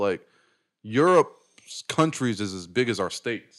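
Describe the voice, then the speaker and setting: A man with an American accent and a plain, everyday voice, medium-pitched with lively intonation, on a very clean recording over a silent background. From Chicago area and Colorado. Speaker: stand-up comedian and Air Force veteran. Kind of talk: casual chat.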